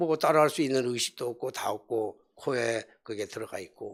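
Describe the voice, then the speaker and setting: Medium pitch from a man, fairly slow in pace. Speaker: pastor. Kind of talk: sermon. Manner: colloquial storytelling with fillers.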